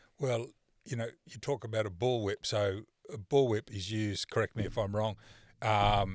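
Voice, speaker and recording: With an unremarkable speaking voice, a man talks at a moderate pace and fairly low pitch, the sound dry and close with no echo on a very clean recording with a silent background. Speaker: real estate principal and podcast host. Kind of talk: podcast host interview.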